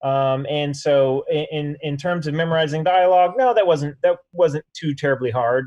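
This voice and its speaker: Speaking with an American accent, a man uses a plain, everyday voice at a fairly high pitch. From Oklahoma (Broken Bow). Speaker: actor. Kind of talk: casual chat.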